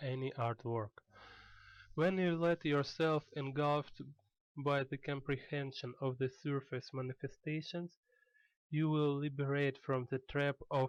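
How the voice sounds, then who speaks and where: Speaking fairly slowly with a non-native accent, a man uses a fairly high pitch and fairly even intonation, the sound dry and close with no echo. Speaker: artist. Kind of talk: tutorial.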